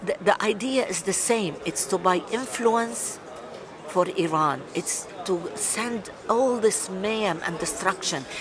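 Very slowly, a woman speaks at medium pitch with lively intonation. Noticeable background noise is present. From Lebanon. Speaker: writer and journalist. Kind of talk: interview. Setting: at a conference.

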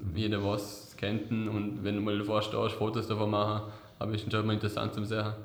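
A man talks at a fairly quick pace with a fairly low pitch, monotone, flat intonation and very even loudness, with audible room echo and noticeable background noise. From Vorarlberg, Austria. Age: 20s. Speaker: award-winning apprentice technician. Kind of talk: interview. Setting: office.

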